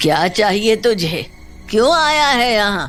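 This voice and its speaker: A woman performs a cartoonish character voice at a fairly high pitch with very wide pitch swings. Music plays in the background. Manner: stern, defiant.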